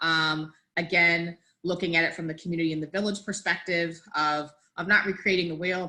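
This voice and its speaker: A woman's fairly low voice with a bright, sharp tone and monotone, flat intonation. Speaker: work group member presenting a memo. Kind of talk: meeting presentation. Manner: fast.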